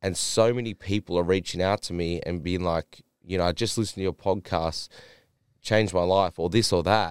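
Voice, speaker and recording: A man with an Australian accent, very deep, low pitch and fairly even intonation at a moderate pace, on a very clean recording with a silent background and a dry, close sound with no echo. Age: 20s. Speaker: wellness and fitness coach. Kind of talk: casual chat. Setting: studio.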